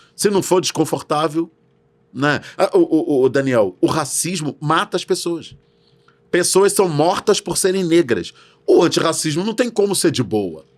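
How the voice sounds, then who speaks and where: A man with a high pitch and an animated tone speaks at a fairly slow pace, his intonation lively. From Brazil. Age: 60s. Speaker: educator on racial literacy. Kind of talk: podcast interview.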